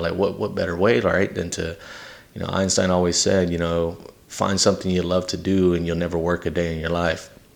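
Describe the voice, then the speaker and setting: With noticeable background noise behind him, a man speaks very fast in a very deep, low voice with monotone, flat intonation. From Texas (San Antonio, Victoria) and Louisiana. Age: 30s. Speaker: podcast host. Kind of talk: personal testimony. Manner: casual with many fillers.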